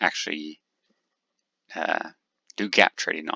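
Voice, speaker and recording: Here a man is soft-spoken. He keeps a moderate pace. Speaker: day trader. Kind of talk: screen-share trading tutorial. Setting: home desk with multiple monitors.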